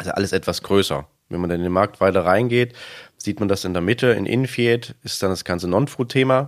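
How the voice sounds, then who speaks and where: At a fairly quick pace, a man speaks with fairly low pitch and ordinary variation in a very clean recording with a silent background. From eastern Germany. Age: 30s. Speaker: supermarket manager. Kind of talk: interview.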